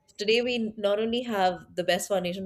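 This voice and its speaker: In an Indian accent, a woman talks at a moderate pace. Her pitch varies in an ordinary way. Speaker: tech product leader. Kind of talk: interview conversation.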